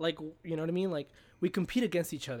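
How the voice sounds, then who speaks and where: A man talks very fast with a Spanish accent. His pitch sits fairly high. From Mexico. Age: 20s. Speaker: guest, apartment property manager. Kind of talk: casual chat. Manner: talkative, humorous, halting with repeats.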